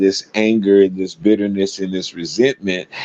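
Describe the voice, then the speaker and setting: Here a man speaks at a fairly low pitch with a dark, mellow tone. His intonation stays fairly even, and the sound is dry and close with no echo. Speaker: religious commentator. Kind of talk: personal storytelling monologue. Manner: hesitant fillers; gets loud and aggressive when passionate.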